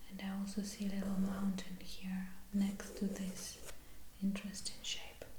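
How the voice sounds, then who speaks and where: Whispering and soft-spoken, a woman talks at a fairly slow pace against noticeable background noise. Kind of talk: ASMR sketchbook explanation, casual talk to camera. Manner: soft-spoken, whispery.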